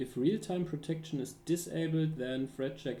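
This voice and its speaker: With a non-native accent, a man speaks at a moderate pace in a fairly high pitch, his tone dark and mellow, somewhat breathy, with ordinary pitch variation. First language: not English. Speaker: security researcher streaming a tutorial. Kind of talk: live-stream tutorial. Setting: live stream with chat. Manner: halting, many fillers and restarts.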